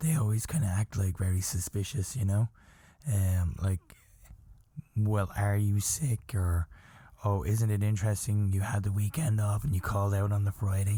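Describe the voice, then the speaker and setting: A man talks at a moderate pace with a fairly low pitch, ordinary pitch variation, very even loudness and a somewhat breathy quality. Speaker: podcast host. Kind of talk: casual chat.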